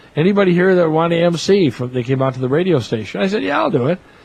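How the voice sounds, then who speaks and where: A man with an American accent varies his pitch in an ordinary way, with noticeable background noise around him. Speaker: public address announcer, former radio disc jockey. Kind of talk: interview answer, storytelling. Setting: press box at a ballpark during a tournament. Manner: friendly, chatty, humorous.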